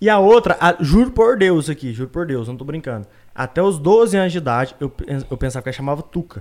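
In a mineiro accent, a man talks fairly quickly at a fairly high pitch, with very wide pitch swings and big swings in loudness. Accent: mineiro countryside accent, kept. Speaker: podcast guest. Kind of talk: casual chat. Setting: live-streamed video podcast studio.

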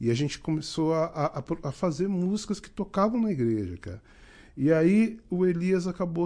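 Against a quiet background, a man speaks with a high pitch, a dark, mellow tone and ordinary pitch variation. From Rio de Janeiro, Duque de Caxias. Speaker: musician. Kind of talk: casual chat.

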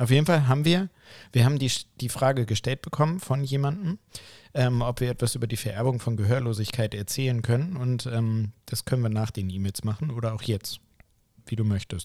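In a very clean recording with a silent background, a man talks at a fairly quick pace in a normal speaking voice, medium in pitch with ordinary pitch variation. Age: 30s. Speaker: anesthesia clinician and podcast co-host. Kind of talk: casual chat.

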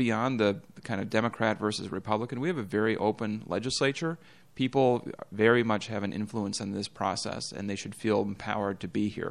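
An unremarkable speaking voice from a man, fairly low in pitch, at a fairly quick pace with ordinary pitch variation. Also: quiet background. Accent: American. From northern Minnesota, Bemidji. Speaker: state legislator. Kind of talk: casual interview.

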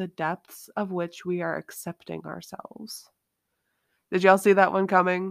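The recording is very clean, with a silent background. A woman with an ordinary speaking voice talks at a medium pitch and a moderate pace. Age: 20s. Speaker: empowerment coach and podcast host. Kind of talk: solo podcast monologue. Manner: casual, conversational with fillers.

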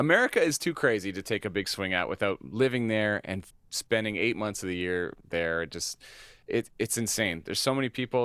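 Talking at a very fast pace, a man with a Canadian accent uses a fairly low pitch and ordinary pitch variation in a dry, close recording with no echo. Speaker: country singer. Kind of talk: casual chat. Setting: video call. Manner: laid-back, laughs often.

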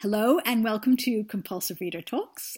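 Somewhat breathy, a woman talks at a moderate pace on a very clean recording with a silent background. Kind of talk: interview.

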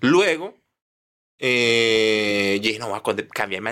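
This man has a bright, sharp tone and a medium pitch. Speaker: comedian. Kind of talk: casual chat.

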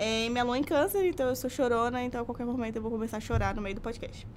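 Very fast speech from a woman, her pitch varying in an ordinary way. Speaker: university student, podcast co-host. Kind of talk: casual chat. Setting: studio.

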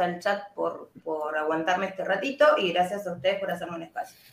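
A woman with an Argentine accent speaks at a moderate pace with lively intonation. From Argentina. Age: 30s. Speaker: vape shop owner and vaping advocate. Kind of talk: panel discussion.

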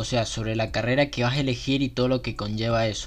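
An unremarkable speaking voice, a man at medium pitch with fairly even intonation. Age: 20s. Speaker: podcast host. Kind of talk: casual monologue.

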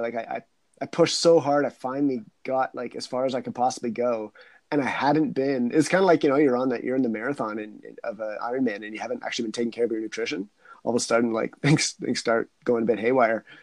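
With ordinary pitch variation, this man's speech rushes along at a very fast pace. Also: big swings in loudness, quiet background. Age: 40s. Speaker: wildlife biologist and adventurer. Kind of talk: casual chat.

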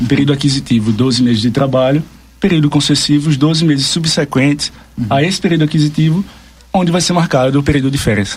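Noticeable background noise sits behind a man with a fairly high pitch. He talks very fast, with very even loudness and ordinary pitch variation. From Brazil, Pernambuco. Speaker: labor law advisor. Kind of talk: radio interview, explanatory.

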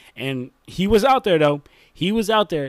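Recorded very cleanly with a silent background and a dry, close sound with no echo, a man speaks at a moderate pace with lively intonation. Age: 20s. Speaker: basketball YouTuber. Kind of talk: casual vlog commentary. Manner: animated.

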